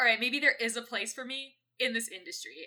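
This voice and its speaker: A woman's high-pitched voice with a bright, sharp tone, ordinary pitch variation and a fairly quick pace. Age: 20s. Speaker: musician. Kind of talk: casual chat. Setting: Discord recording. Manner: fast talker.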